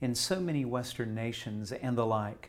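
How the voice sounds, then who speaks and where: Using a plain, everyday voice, a man talks at medium pitch, varying it in an ordinary way. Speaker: interviewer. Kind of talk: interview conversation. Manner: formal.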